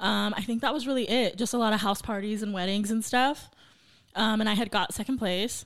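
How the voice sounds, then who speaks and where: A woman talks at a fairly quick pace with fairly even intonation and a fairly high pitch, in a normal speaking voice. The recording is very clean, with a silent background. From Santa Paula, California. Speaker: DJ and former teacher. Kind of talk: casual chat.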